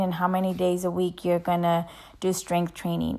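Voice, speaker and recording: A woman's medium-pitched voice sits on a very clean recording against a silent background. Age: 20s. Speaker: podcast host, physician assistant and amateur runner. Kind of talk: casual chat.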